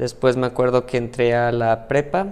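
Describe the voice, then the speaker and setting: With a Mexican accent, a man talks at a moderate pace. His pitch is medium. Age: 30s. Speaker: mathematician and AI tech specialist. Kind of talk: interview conversation.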